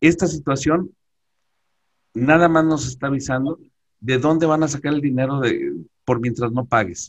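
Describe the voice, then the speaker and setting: A man with a fairly high pitch speaks at a moderate pace with ordinary pitch variation and long, frequent pauses. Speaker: tax and accounting expert. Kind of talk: webinar presentation. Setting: video call. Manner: halting.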